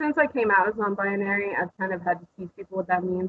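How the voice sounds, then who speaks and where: A woman speaks with an American accent. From Oklahoma. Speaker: glass artist. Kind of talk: interview. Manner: hesitant, many fillers.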